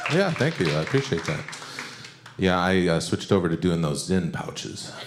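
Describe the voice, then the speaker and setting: A man's very deep, low voice with lively intonation at a moderate pace, with audible room echo and noticeable background noise. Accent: Michigan. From Michigan, Detroit. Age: 40s. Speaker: comedian. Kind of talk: stand-up. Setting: stage with audience. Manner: casual, halting with fillers.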